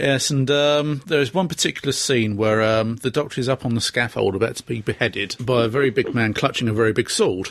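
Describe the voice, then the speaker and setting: Talking at a fairly quick pace with hardly any pauses, a man has a normal speaking voice, medium pitch and ordinary pitch variation. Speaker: podcast host. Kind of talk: casual chat. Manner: playful, jokey.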